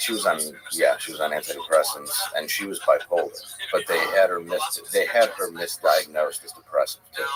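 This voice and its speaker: A man talks fairly quickly. Behind him, music is playing. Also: big swings in loudness. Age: 40s. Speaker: podcast guest. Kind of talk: casual chat.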